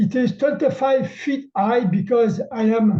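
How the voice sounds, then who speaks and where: With a Quebec accent, a man speaks at a fairly slow pace in a dark, mellow tone, high in pitch with ordinary pitch variation. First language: French. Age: old. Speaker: amateur astronomer. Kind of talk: webinar presentation. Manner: halting.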